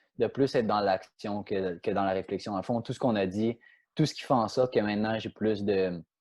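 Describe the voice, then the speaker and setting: A man speaks with a Quebec accent at a fairly low pitch. The background is quiet. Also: fairly even intonation, moderate pace. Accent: Quebec French accent, noticed in France. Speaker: professional soccer player. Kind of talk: podcast interview, storytelling. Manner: many repetitions and hesitations.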